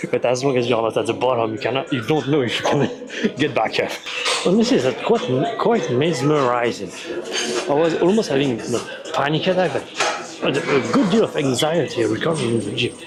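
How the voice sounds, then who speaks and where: A fairly high male voice with very wide pitch swings and very even loudness, at a fairly quick pace, amid noticeable background noise and audible room echo. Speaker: golf fitness vlogger. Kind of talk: casual vlog narration. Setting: gym.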